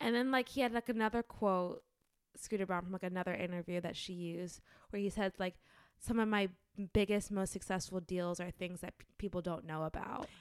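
At a fairly quick pace, a woman talks in a normal speaking voice at medium pitch. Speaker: podcast host. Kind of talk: casual banter podcast chat. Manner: playful, joking banter.

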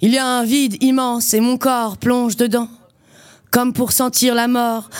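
A woman with a high-pitched voice speaks at a very slow pace. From western France, Loire-Atlantique. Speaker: slam poet and performer. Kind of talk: poetry performance; casual interview.

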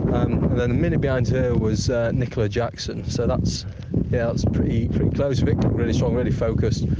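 Fairly quick and with fairly even intonation, a man speaks over noticeable background noise. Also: medium pitch for a man. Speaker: roaming reporter. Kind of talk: live race report. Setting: outdoors on a hill.

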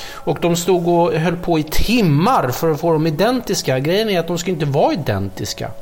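Amid noticeable background noise, a man with a high voice and lively intonation speaks at a moderate pace with hardly any pauses. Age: middle-aged. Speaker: chef, podcast co-host. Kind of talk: casual chat while cooking. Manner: animated.

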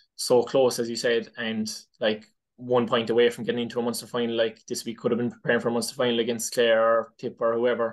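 Very fast and medium-pitched, a man speaks with a Cork accent. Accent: Cork Irish. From Ireland, West Cork. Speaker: inter-county hurler. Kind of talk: casual interview. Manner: hesitant, many fillers.

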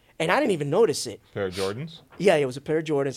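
Here is a man with an American accent. His pitch is fairly high. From Brooklyn, New York. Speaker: sneaker YouTuber turned crypto investor. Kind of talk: casual interview chat.

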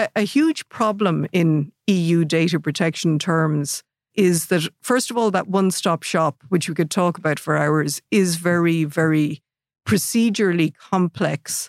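In an Irish Midlands accent, a woman speaks at a moderate pace with a fairly low pitch, ordinary pitch variation, and very even loudness. The sound is dry and close with no echo, on a very clean recording with a silent background. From Ireland, Athlone. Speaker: data protection regulator. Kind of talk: interview. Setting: studio.

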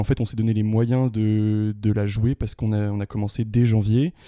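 Heard in a dry, close sound with no echo, a man speaks at a moderate pace in a fairly low pitch, with a dark, mellow tone and monotone, flat intonation. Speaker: student actor, theatre club member. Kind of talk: casual interview.

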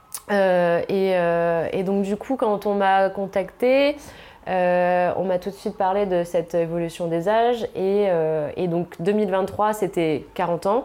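In a dark, mellow tone, a woman talks very slowly with very even loudness and fairly even intonation. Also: medium pitch for a woman. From northern France. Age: 30s. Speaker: fashion stylist. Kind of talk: casual interview. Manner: hesitant, many fillers.

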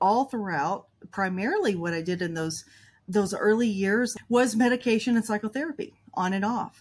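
With a normal speaking voice, a woman talks at a moderate pace and a fairly high pitch, showing ordinary pitch variation on a very clean recording with a silent background. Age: 50s. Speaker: trauma coach. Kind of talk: interview.

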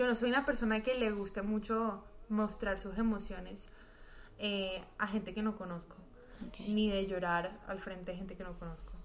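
A woman speaks with fairly even intonation over noticeable background noise, her voice carrying audible room echo. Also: medium pitch for a woman, moderate pace. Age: 20s. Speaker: singer and music student. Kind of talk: casual chat.

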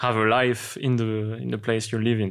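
On a very clean recording with a silent background, a man with a French accent speaks at a medium pitch and moderate pace in a flat monotone. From France. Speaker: interview guest, one half of a couple. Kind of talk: casual conversational interview.

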